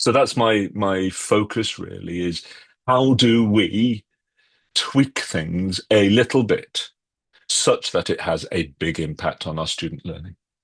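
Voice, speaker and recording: In a British accent, the speaker moves at a very slow pace with lively intonation. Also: man, fairly low pitch for a man. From UK. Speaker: author and educator. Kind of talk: podcast interview. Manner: conversational, with fillers.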